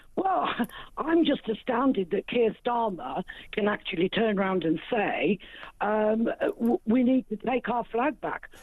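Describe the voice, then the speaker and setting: At a fairly slow pace, a woman speaks with a fairly high pitch and very wide pitch swings. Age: 70s. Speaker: caller. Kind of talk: talk radio phone-in. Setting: phone call. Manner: animated.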